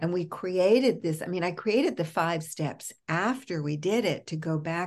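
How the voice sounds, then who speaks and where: A woman with an American accent speaks in an unremarkable speaking voice. Her pitch is fairly low, and the background is quiet. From New York. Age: 60s. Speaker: author and psychotherapist. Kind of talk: podcast interview.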